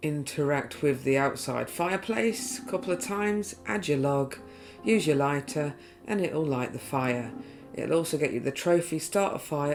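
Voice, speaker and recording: Someone mumbles with music playing in the background. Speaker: video game trophy guide creator. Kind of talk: game walkthrough commentary. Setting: poorly set up new microphone. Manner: a bit mumbly.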